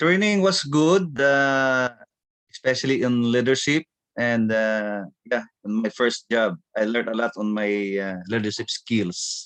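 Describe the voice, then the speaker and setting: Speech delivered at a very slow pace with lively intonation. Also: man, medium pitch for a man. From Philippines. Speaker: business speaker. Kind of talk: testimony.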